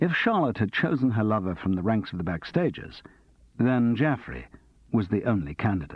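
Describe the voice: Lively intonation in plain reading aloud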